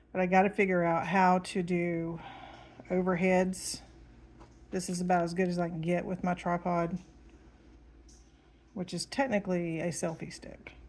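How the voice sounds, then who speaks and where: A woman talks at a fairly low pitch in a monotone, flat intonation, with long, frequent pauses. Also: moderate pace. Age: 50s. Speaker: diamond painting hobbyist and 911 dispatcher. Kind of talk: casual chat. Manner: hesitant, many ums.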